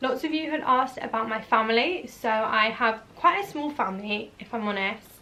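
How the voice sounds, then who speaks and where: A woman at a moderate pace, with ordinary pitch variation, over noticeable background noise. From eastern England, Norwich. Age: 20s. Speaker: vlogger and hairdresser. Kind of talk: casual Q&A vlog. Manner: chatty, animated.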